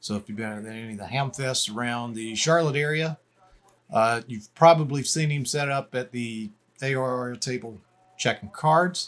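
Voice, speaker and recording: With an unremarkable speaking voice, a man of medium pitch talks at a moderate pace, showing ordinary pitch variation and big swings in loudness. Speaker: amateur radio operator. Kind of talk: casual talk to camera.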